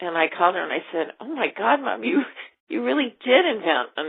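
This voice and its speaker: Speaking with an American accent, a woman at a medium pitch lets her voice swing very widely up and down. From US West Coast, Los Angeles. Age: 60s. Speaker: interviewee, daughter of a film star. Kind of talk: interview.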